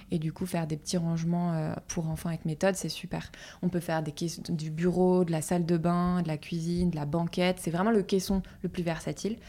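A woman's fairly low, dark and mellow voice, flat and monotone, at a fairly quick pace, on a very clean recording with a silent background. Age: 30s. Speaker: furniture company founder. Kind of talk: interview.

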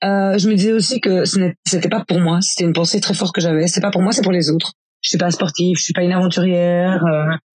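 Over music in the background, a woman at a medium pitch speaks very fast with very even loudness. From Belgium, rural farm. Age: 30s. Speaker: cycling travel guide and life coach. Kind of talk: personal testimony. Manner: hesitant, many fillers.

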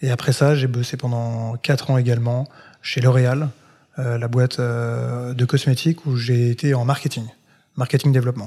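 In a dark, mellow, somewhat breathy voice, a man speaks at a moderate pace in a monotone, flat intonation on a very clean recording with a silent background. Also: medium pitch for a man. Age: 30s. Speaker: content creator. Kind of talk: interview.

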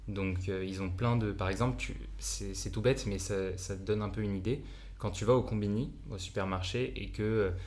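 At a moderate pace and fairly low pitch, a man talks with fairly even intonation amid audible room echo. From France. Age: 20s. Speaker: entrepreneur. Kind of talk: casual chat.

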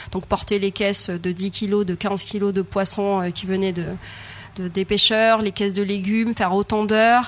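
Speaking at a moderate pace, a woman holds a medium pitch in a monotone, flat delivery. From Madagascar. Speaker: chef and cooking trainer. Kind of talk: interview. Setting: on a ship. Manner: hesitant, many fillers.

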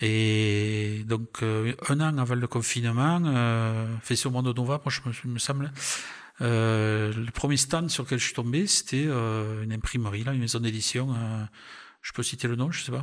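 At a fairly slow pace, a man of medium pitch speaks with fairly even intonation. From southern France, Aveyron (Millau). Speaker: retired railway worker and travel photographer. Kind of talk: interview. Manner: halting.

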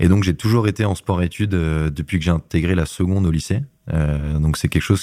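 A man with a very deep, low voice speaks at a moderate pace, his tone dark and mellow and his pitch varying in an ordinary way. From western France, Laval. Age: 20s. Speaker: rugby player and event project manager. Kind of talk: interview. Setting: office.

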